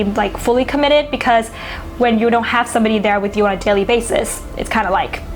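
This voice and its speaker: A woman with a Thai accent talks at a fairly quick pace and a high pitch, with ordinary pitch variation. Noticeable background noise runs behind her. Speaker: astrology YouTuber. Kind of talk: casual educational monologue. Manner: conversational, with fillers.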